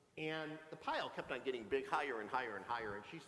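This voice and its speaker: An animated man talks amid noticeable background noise and audible room echo. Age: 60s. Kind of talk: sermon. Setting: church. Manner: animated, conversational.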